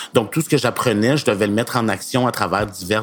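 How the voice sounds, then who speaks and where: Talking at a fairly quick pace, a man with a Quebec accent uses ordinary pitch variation. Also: very clean recording, silent background. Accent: Québécois French. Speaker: author of youth novels. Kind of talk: scripted conversational podcast.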